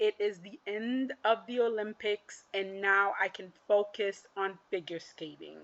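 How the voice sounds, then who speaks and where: A woman's fairly high-pitched, animated voice with a non-native accent. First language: not English. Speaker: figure skating commentator. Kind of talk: casual monologue recap.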